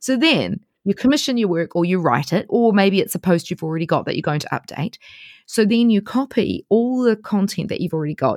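A woman talks at a fairly quick pace with lively intonation and a medium pitch, in a dry, close sound with no echo on a very clean recording with a silent background. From New Zealand. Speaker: travel blogger. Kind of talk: interview.

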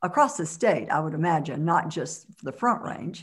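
A woman's plain, everyday voice, fairly low in pitch, with lively intonation and an American accent. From US South, Mississippi. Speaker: entrepreneur and community leader. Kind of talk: interview.

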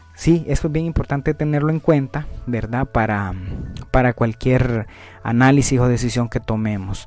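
With music in the background, a man speaks at a moderate pace in a medium pitch with ordinary pitch variation. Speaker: finance podcast host. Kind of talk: educational monologue. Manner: hesitant, many filler sounds.

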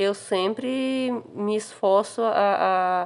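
A woman's medium-pitched voice with ordinary pitch variation, over a quiet background. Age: 40s. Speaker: interviewee. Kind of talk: interview answers. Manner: halting.

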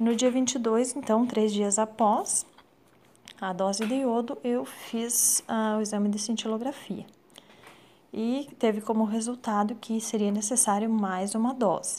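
Woman at a fairly high pitch, dark, mellow tone, fairly even intonation, fairly slow pace. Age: 30s. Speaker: thyroid cancer patient. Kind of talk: testimony.

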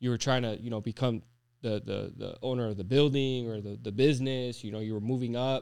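A man rushes along at a very fast pace, his medium pitch showing ordinary variation. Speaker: podcast co-host. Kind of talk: casual chat.

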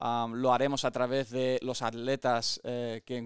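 On a very clean recording with a silent background and a dry, close sound with no echo, a man speaks at medium pitch and a fairly slow pace. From born in the US to an American father and Spanish mother, lived in both. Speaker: podcast host and gym owner. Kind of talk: podcast introduction monologue. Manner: halting, many fillers and repeated words.

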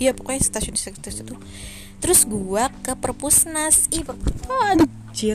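Music plays in the background as a woman speaks at a moderate pace with big swings in loudness. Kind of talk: casual solo podcast monologue.

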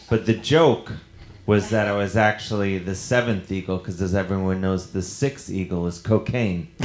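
A man with a normal speaking voice talks at a moderate pace in a fairly low pitch, with ordinary pitch variation. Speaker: comedian podcast host. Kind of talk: live comedy show banter. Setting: stage with audience. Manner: joking, playful.

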